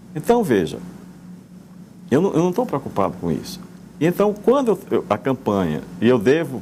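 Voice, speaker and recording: A man with a fairly high pitch and a dark, mellow tone uses very wide pitch swings, vocal fry and long, frequent pauses. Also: moderate pace. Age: 70s. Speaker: politician, former mayor. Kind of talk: radio interview. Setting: studio. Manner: halting, with repetitions.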